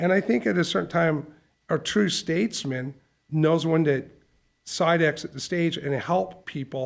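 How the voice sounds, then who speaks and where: The setting is quiet. An unremarkable speaking voice carries its pitch with ordinary variation. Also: man. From Calgary, Canada. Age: 50s. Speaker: insurance company CEO. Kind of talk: casual chat. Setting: studio.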